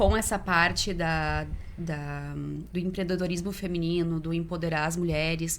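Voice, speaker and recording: In a room with audible echo, a woman with a fairly low pitch speaks at a fairly slow pace with fairly even intonation. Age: 30s. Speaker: volunteer and event co-organizer. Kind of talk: podcast interview.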